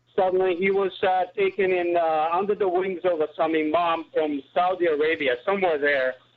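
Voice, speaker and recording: A man speaks with a high voice at a moderate pace, with hardly any pauses. His loudness stays very even and his intonation fairly even. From former Yugoslavia. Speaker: truck driver. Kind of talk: call-in talk radio. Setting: phone call.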